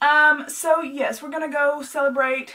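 A woman with a Southern US accent uses a raised, projected voice at a high pitch. Her intonation stays fairly even while music plays in the background. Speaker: vlogger. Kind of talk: casual chat. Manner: fast.

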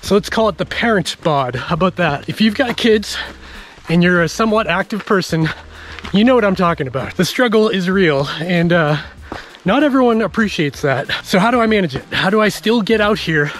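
The speech comes at a fairly quick pace. The sound is dry, with no echo. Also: man, high pitch for a man. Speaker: trail runner vlogger. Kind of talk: casual vlog chat. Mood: relaxed, upbeat. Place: forest. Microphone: phone near.

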